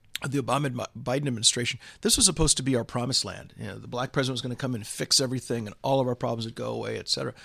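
On a very clean recording with a silent background, a man with an American accent speaks very fast at medium pitch, with vocal fry and fairly even intonation. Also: big swings in loudness. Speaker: political commentator. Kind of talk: political discussion interview. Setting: studio office in London. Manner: hesitant fillers.

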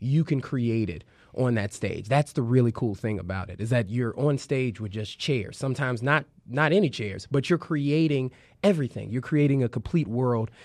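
A man with an American accent speaks in an ordinary speaking voice at medium pitch and moderate pace. His intonation is lively over a quiet background. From Chicago, South Side. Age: 20s. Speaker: improv comedian. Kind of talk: interview.

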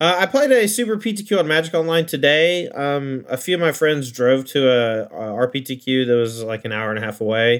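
A man talks at a fairly quick pace and fairly high pitch, his intonation lively and his speech with hardly any pauses. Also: very clean recording, silent background. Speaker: card game pro player and streamer. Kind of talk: casual chat. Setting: studio. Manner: fast.

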